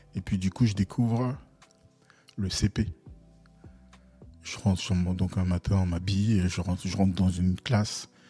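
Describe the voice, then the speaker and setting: Music plays behind a man whose pitch is very deep and low. He keeps a moderate pace and fairly even intonation, with long, frequent pauses. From Togo and Ivory Coast (Lomé, Abidjan). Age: 40s. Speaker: UX/UI designer and entrepreneur, podcast co-host. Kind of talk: casual interview. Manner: hesitant, many fillers.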